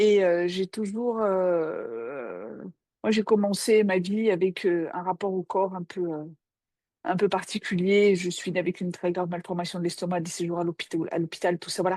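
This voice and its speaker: Against a quiet background, a woman with a dark, mellow tone talks at a moderate pace with ordinary pitch variation. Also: medium pitch for a woman. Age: 60s. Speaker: psychoanalyst. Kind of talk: casual chat. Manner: halting.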